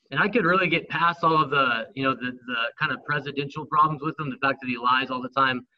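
A man talks very fast in a fairly high voice. His pitch varies in an ordinary way. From Northern California. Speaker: former MMA fighter and history teacher. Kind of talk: heated debate. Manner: articulate.

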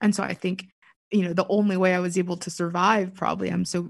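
With an American accent, a woman speaks in a fairly low voice with monotone, flat intonation. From US, Pittsburgh. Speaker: author and writer. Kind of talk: casual chat.

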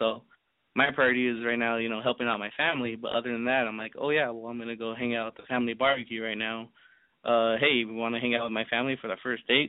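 Very fast and in a monotone, flat intonation, a man speaks at a medium pitch. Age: 20s. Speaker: caller. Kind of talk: call-in advice conversation. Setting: phone call. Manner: hesitant.

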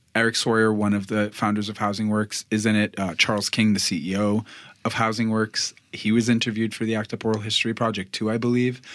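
Speaking at a very fast pace in an American accent, the man has a fairly low pitch and monotone, flat intonation. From Boston. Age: 30s. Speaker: podcaster. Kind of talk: casual chat.

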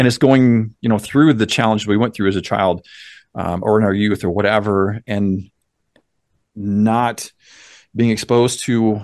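Against a quiet background, a man with an American accent has an unremarkable speaking voice, fairly low in pitch with fairly even intonation. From US small town. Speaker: mindset coach. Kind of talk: podcast interview.

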